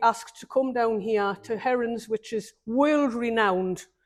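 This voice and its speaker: A woman with a northeast English accent speaks at a moderate pace, her pitch fairly high and her intonation fairly even. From northeast England, Newcastle upon Tyne. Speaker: bonsai exhibitor and teacher. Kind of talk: casual interview. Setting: bonsai nursery event. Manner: hesitant, many ums.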